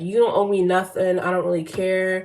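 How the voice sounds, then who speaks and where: Noticeable background noise accompanies talking at a fairly quick pace. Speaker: YouTuber talking about art. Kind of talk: casual vlog rant. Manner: halting, repeats words.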